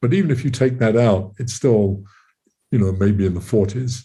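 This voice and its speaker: This man has a fairly low pitch and a dark, mellow tone, sounding somewhat breathy with ordinary pitch variation. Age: 80s+. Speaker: physicist and author. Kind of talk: interview. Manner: halting, many fillers.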